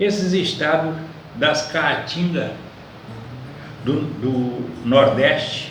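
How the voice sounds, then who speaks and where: With noticeable background noise and audible room echo, a man speaks very slowly in a fairly high voice, using ordinary pitch variation and long, frequent pauses. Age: 80s+. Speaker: elderly citizen vlogger. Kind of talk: monologue to camera.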